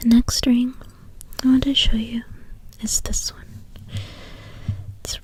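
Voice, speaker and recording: A soft-spoken woman whispers. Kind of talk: ASMR soft-spoken show-and-tell. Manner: soft-spoken, whispery.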